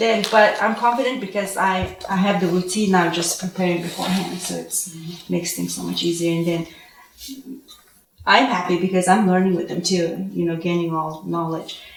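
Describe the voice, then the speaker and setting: A woman with a Mongolian accent and fairly even intonation, with audible room echo and noticeable background noise. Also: moderate pace. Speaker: homeschooling parent, panelist. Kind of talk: panel discussion.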